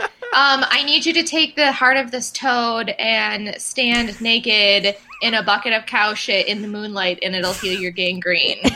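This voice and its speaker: A woman with an American accent speaks at a fairly slow pace with hardly any pauses. Her pitch is fairly high with ordinary variation, and there is noticeable background noise. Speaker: podcast co-host. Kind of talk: casual chat. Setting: remote recording.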